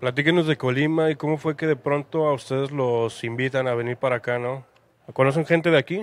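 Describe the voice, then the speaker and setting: Speaking in an ordinary speaking voice, a man with a fairly high pitch delivers his lines at a fairly quick pace with fairly even intonation, and the sound is dry with no echo. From Mexico. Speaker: interviewer. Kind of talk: interview. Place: cafe. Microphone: handheld.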